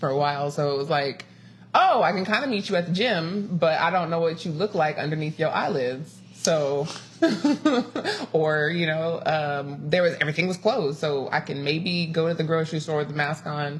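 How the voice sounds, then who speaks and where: A woman with an American accent speaks at a moderate pace in a very deep, low pitch with ordinary pitch variation. Noticeable background noise is present. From Los Angeles. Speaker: podcast host. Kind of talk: casual chat. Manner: animated.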